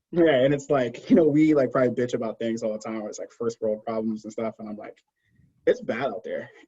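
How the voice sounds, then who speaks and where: A man with a New York accent speaks at a very fast pace, his loudness swinging widely. His tone is dark and mellow at medium pitch with ordinary pitch variation, in a dry, close sound with no echo. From Brooklyn, New York City. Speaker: cancer scientist, pharma consultant. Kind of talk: podcast interview, casual chat.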